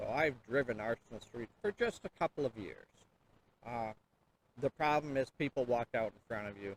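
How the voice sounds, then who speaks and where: At a moderate pace and medium pitch, a man talks with ordinary pitch variation and long, frequent pauses. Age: 60s. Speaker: city council candidate. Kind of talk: interview. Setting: outdoors by a river and falls.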